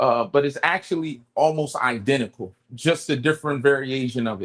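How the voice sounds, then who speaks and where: This man has a plain, everyday voice with a fairly high pitch and speaks at a moderate pace. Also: ordinary pitch variation. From New Jersey, Camden. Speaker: cook. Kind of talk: cooking demonstration.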